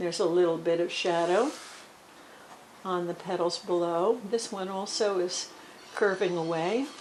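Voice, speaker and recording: Long, frequent pauses amid audible room echo and noticeable background noise. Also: woman, medium pitch for a woman, ordinary pitch variation, moderate pace. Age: 70s. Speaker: watercolor artist. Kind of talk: tutorial. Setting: at home with music playing. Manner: hesitant, with many fillers.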